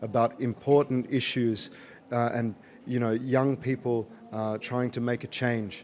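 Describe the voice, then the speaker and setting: A man speaks at a fairly slow pace in an Australian accent. His pitch sits in the medium range. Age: 30s. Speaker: rapper and writer. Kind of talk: interview.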